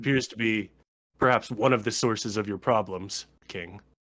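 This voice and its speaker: A man uses a raspy, put-on character voice of medium pitch at a moderate pace, on a very clean recording with a silent background. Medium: actual play. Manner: formal, matter-of-fact.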